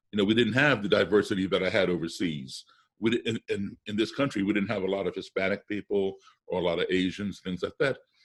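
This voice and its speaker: A man's plain, everyday voice, fairly low in pitch, at a fairly quick pace with ordinary pitch variation. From US, childhood partly abroad in embassy postings. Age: 60s. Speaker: musician. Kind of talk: interview. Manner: conversational with self-corrections and repetitions.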